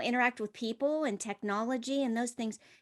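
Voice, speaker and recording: A woman talks in a normal speaking voice, pitched fairly high, with ordinary pitch variation. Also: quiet background. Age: 50s. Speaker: podcast co-host. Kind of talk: casual podcast chat.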